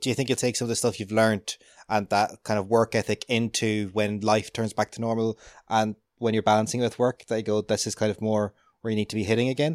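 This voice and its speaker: Talking very fast in an Irish accent, a man uses a fairly low, monotone, flat voice. The sound is dry and close, with no echo. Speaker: podcast host. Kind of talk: casual interview. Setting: remote call.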